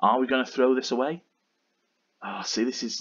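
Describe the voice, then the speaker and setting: A man's voice at a medium pitch. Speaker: Football Manager let's-play YouTuber. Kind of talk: gaming commentary, recap and live match commentary.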